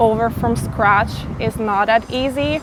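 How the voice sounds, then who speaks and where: Noticeable background noise accompanies a woman speaking at a very slow pace with a fairly high pitch. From Italy. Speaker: interviewee, Albanian immigrant. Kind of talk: interview. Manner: hesitant with fillers.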